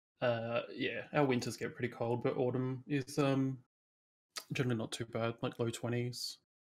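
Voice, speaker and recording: A quiet, somewhat breathy male voice in an Australian accent, flat and monotone. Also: medium pitch for a man, moderate pace. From Perth, Western Australia. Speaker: gaming community member. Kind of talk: casual interview.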